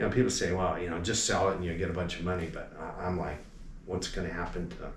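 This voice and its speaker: Over audible room echo, a man with a very deep, low pitch talks very fast with fairly even intonation. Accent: American. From Los Angeles area, California. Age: 60s. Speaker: alarm company owner. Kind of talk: interview. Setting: convention at a hotel.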